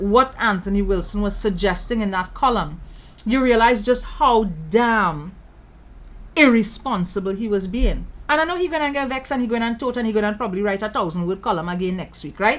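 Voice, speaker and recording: In a Trinidadian accent, a woman talks at a fairly quick pace with an animated tone and lively intonation. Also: fairly high pitch for a woman. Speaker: political commentator. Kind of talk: commentary show monologue.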